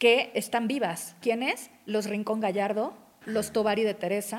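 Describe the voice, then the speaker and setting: An unremarkable speaking voice at a fairly slow pace. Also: woman. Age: 40s. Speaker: journalist on royalty and etiquette. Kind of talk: casual interview.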